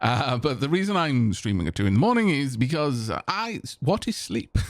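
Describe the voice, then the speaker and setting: A man with a South Welsh accent speaks at a medium pitch and a moderate pace. His pitch swings very widely while his loudness stays very even. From South Wales (Senghenydd, Caerphilly area). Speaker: streamer playing video games. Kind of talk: live game stream chat. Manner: halting, many repeated words.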